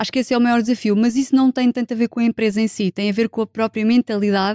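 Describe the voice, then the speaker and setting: A woman's plain, everyday voice, fairly high and fairly quick, in a very clean recording with a silent background and a dry, close sound with no echo. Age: 40s. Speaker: sociologist and HR specialist. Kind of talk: casual chat.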